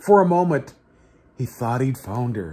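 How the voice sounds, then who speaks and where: The man's voice has a dark, mellow tone. His intonation is lively. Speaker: reader of a children's book. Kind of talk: storybook reading aloud. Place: home room. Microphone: phone near.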